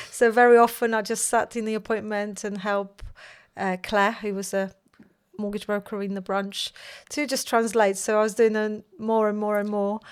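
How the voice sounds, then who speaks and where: On a very clean recording with a silent background, a woman speaks in a Polish accent. Her fairly high voice moves at a moderate pace with monotone, flat intonation. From Poland. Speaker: mortgage broker, company founder. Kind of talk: casual chat.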